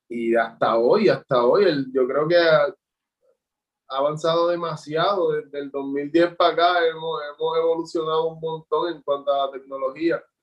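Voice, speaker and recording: Male speech at a moderate pace, fairly high in pitch, with fairly even intonation. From Puerto Rico, Juncos. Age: 20s. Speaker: visual artist. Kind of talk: interview. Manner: halting, repeats words.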